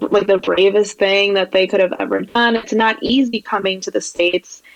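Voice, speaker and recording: A woman with a Spanish accent speaks at a moderate pace in a medium pitch, her intonation monotone and flat. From New York, Long Island. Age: 20s. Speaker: graphic designer. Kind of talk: podcast interview.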